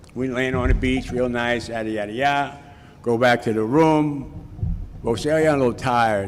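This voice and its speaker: A man speaks at a medium pitch and a fairly quick pace, his intonation fairly even, with audible echo from the room. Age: 60s. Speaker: recovery speaker at a Cocaine Anonymous event. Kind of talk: personal testimony talk. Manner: casual storytelling with repetitions.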